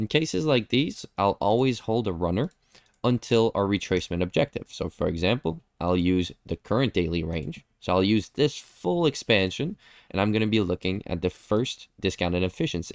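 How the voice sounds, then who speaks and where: The speaker has a non-native accent and talks at a moderate pace with lively intonation. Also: man, fairly low pitch for a man, dry, close sound with no echo. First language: not English. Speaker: trading educator. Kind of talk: live stream chart review. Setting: live stream with chat. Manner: casual, conversational.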